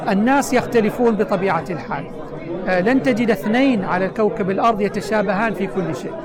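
A man speaks at a moderate pace in a high voice with ordinary pitch variation. Audible room echo and crowd noise in the background accompany him. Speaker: government minister. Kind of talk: interview. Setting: UN headquarters, New York. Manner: formal.

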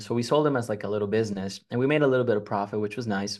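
Someone with a Spanish accent speaks at a very fast pace. The background is quiet. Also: man. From Mexico, Monterrey. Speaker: real estate investor. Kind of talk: interview.

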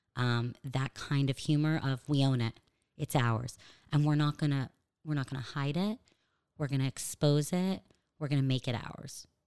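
The speaker has a Californian accent and fairly even intonation, with long, frequent pauses. The recording is very clean, with a silent background. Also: woman, very deep, low pitch for a woman, moderate pace. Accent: American (California). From US, Los Angeles. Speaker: stand-up comedian. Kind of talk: casual interview chat. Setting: studio, across a table.

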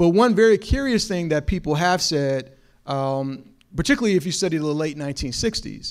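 A man with an American accent and a normal speaking voice, fairly high in pitch, lively intonation, moderate pace, very clean recording with a silent background. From Chicago. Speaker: professor. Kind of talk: lecture. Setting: stage with audience.

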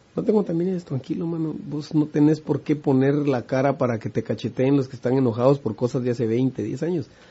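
A man speaks at medium pitch with ordinary pitch variation. His voice is somewhat breathy. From Guatemala. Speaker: musician. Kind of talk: casual interview chat.

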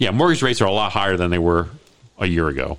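A man talks in an American accent. His voice carries vocal fry. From Maryland, Baltimore. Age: 60s. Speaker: real estate agent and radio host. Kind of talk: radio talk show.

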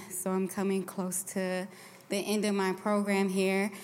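A woman speaks at a medium pitch. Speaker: recovering alcoholic. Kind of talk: testimony. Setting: church.

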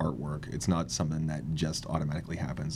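This man talks at a very fast pace in a very deep, low voice. Noticeable background noise runs behind him. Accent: American. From US, Washington state (Kent). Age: 40s. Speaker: artist, cancer survivor. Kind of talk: interview. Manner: halting, many fillers.

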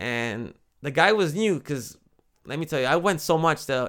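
A man with an American accent has a plain, everyday voice at a fairly high pitch. He speaks at a moderate pace in a very clean recording with a silent background. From USA. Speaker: podcast host. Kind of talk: casual monologue storytelling. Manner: conversational, with false starts.

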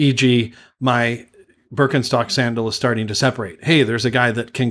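Speaking at a moderate pace, a man with a Canadian accent has a plain, everyday voice at medium pitch. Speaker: travel podcast host. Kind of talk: casual chat. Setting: video call.

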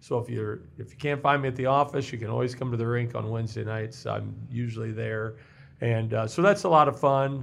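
A man's medium-pitched voice with a Midwestern American accent, fairly quick, with ordinary pitch variation. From Missouri. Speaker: municipal workers' compensation pool representative. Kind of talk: interview.

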